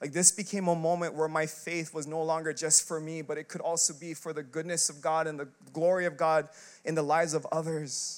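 A man's fairly high-pitched voice in a monotone, flat intonation. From Filipino heritage. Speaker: pastor. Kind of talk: sermon. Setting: church. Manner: loud.

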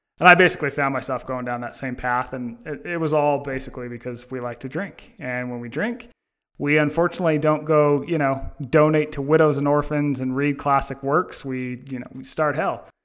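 Speaking with an American accent and a plain, everyday voice, a man goes at a fairly quick pace, fairly high in pitch, with ordinary pitch variation and big swings in loudness. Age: 30s. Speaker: author. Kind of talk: interview.

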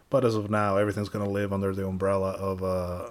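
A man speaks at a fairly low pitch. His intonation is a flat monotone. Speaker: podcast co-host. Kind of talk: casual chat.

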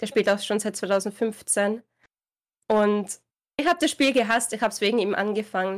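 A woman with a plain, everyday voice at a medium pitch and moderate pace, with fairly even intonation, in a very clean recording with a silent background. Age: 20s. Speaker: gaming streamer. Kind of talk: interview.

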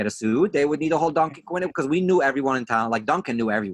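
Using an American accent, a man speaks at a fairly high pitch with a bright, sharp tone and lively intonation. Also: dry, close sound with no echo. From Brooklyn, New York. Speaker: actor and musician. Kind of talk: casual chat.

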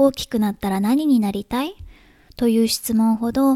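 A woman with a fairly high pitch and a dark, mellow tone speaks at a moderate pace, somewhat breathy, with ordinary pitch variation, in a dry, close sound with no echo on a very clean recording with a silent background. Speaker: podcast host, writer and mother. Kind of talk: casual solo podcast talk.

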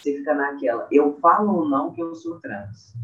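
This voice belongs to a man. Its pitch rises and falls in a typical way. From Brazil, Minas Gerais (Uberlândia). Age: 20s. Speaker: dental student. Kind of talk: casual chat. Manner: halting.

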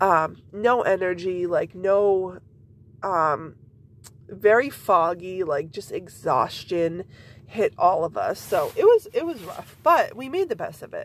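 A woman with fairly low pitch speaks at a slow pace with lively intonation.

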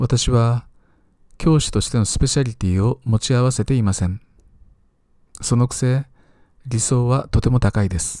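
Long, frequent pauses break up a man's moderate-paced speech in a dry, close sound with no echo. His dark, mellow tone sits at medium pitch with ordinary pitch variation. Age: 50s. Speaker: teacher and podcaster. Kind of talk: solo talk, scripted monologue.

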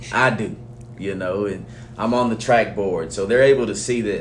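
Speaking at a moderate pace with an American accent, a man with a fairly low pitch is heard amid noticeable background noise and audible room echo. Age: 30s. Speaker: high school football coach. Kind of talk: interview.

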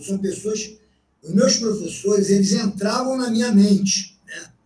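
Speaking at a fairly slow pace, a man with a high pitch keeps his intonation fairly even while audible room echo surrounds him. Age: 60s. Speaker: jiu-jitsu veteran. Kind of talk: casual interview.

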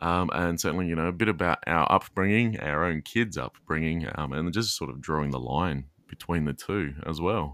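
With hardly any pauses, a man talks in a very deep, low pitch with vocal fry and ordinary pitch variation. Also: moderate pace. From Australia. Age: 30s. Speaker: podcast co-host and father. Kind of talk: casual chat. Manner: frequent laughter.

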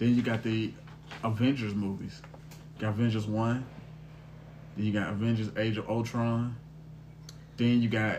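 A man's medium-pitched, flat monotone at a moderate pace, broken by long, frequent pauses, with audible room echo. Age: 30s. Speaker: podcast host. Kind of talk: casual chat.

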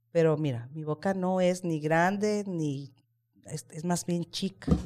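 A woman with a Mexican accent, very deep and low in pitch, dark and mellow in tone, at a fairly slow pace. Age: 40s. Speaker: podcast host. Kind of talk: casual chat. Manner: animated.

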